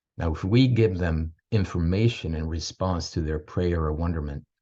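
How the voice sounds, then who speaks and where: Against a quiet background, a man speaks at a moderate pace. His voice is very deep and somewhat breathy, with a dark, mellow tone. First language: Swedish. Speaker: parenting mentor. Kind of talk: talking-head monologue.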